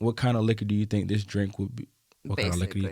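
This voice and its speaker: A man speaks in a Southern US accent. His tone is dark and mellow. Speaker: podcast host.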